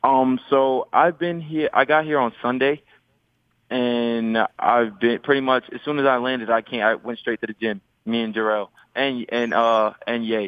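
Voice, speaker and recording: With a New York accent, a man talks at a moderate pace in a medium pitch and fairly even intonation. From New York City (Queens). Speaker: professional basketball player. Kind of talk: radio interview.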